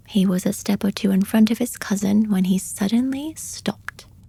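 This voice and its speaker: A soft-spoken, somewhat breathy voice, calm and dark and mellow, with ordinary pitch variation at a fairly slow pace. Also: woman. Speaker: audiobook reader / podcast host. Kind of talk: soft-spoken bedtime story reading. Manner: soft-spoken, calm, relaxing.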